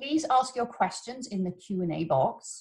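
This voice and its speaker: A woman with an English accent speaks at a medium pitch, somewhat breathy, with lively intonation. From England. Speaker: webinar host. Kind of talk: webinar introduction. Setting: video call.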